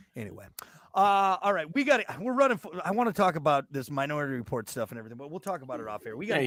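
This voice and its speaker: Shouting at a very fast pace, a man with a fairly high pitch makes very wide pitch swings and big swings in loudness on a very clean recording with a silent background. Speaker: morning show host. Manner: sounds like yelling; loud, sounds like yelling.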